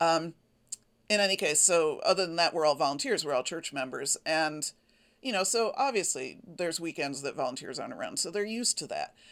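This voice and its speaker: An unremarkable speaking voice moves at a fairly quick pace with lively intonation, captured in a very clean recording against a silent background. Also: woman, fairly low pitch for a woman. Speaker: quilting podcaster. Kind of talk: casual solo podcast monologue. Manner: chatty, informal, self-deprecating.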